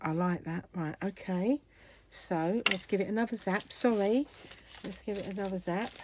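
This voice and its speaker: A woman at medium pitch talks with an English accent. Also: ordinary pitch variation, moderate pace. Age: 60s. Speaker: craft YouTuber. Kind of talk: craft tutorial; casual chat.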